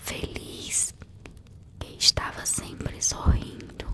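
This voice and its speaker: Someone whispers very slowly in a calm tone over noticeable background noise. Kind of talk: whispered ASMR bedtime story narration. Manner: whispered, soft, calm.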